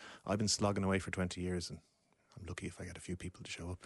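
Against a quiet background, a man with a Dublin accent talks at a very fast pace. His pitch is very deep and low, and his intonation fairly even. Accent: Dublin Irish. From Ireland, Dublin (Deansgrange). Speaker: composer and woodwind musician. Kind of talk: casual chat.

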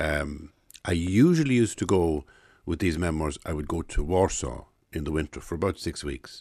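A man speaks at a moderate pace in a very deep, low voice with an Irish accent. The background is quiet. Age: 60s. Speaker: writer and playwright. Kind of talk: interview.

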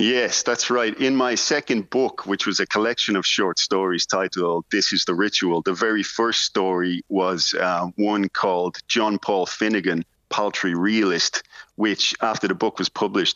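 A man talks with a Dublin accent. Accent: Irish, Dublin. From Ireland. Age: 40s. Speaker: writer. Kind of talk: interview.

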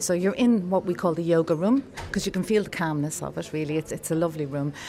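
There is noticeable background noise. A woman speaks in a fairly low voice. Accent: Irish. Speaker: community group organiser. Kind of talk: casual interview.

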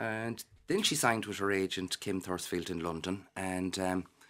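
Speaking with a Galway accent, a man with a very deep, low voice keeps his intonation fairly even on a very clean recording with a silent background. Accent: Irish, Galway. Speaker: florist and parent of young actor. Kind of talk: casual radio interview.

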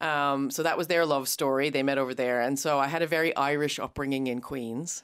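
A woman with an American accent, very deep and low in pitch, fairly even intonation, and a fairly quick pace, on a very clean recording with a silent background. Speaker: writer and podcaster. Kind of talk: interview.

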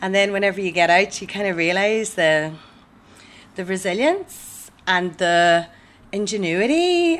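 Speaking at a fairly slow pace, a woman with a Tyrone accent uses lively intonation. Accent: Northern Irish, Tyrone. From Omagh, Co. Tyrone. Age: 30s. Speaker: comedy MC and poet. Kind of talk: casual interview.

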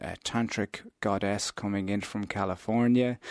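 A man with an Irish accent talks at a moderate pace, his pitch fairly low and his intonation fairly even. The sound is dry and close with no echo, over a quiet background. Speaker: interfaith minister. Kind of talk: radio interview.

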